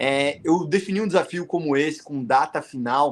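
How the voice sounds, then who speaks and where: Fairly high-pitched with ordinary pitch variation, a man speaks at a fairly slow pace in an ordinary speaking voice. The recording is very clean with a silent background. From Paraná, southern Brazil. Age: 30s. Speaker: world traveller. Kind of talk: podcast interview.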